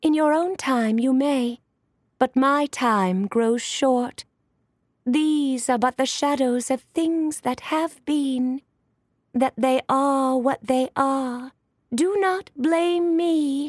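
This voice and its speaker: A woman does a put-on character voice, high in pitch. She speaks very slowly in a very clean recording with a silent background. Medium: read story.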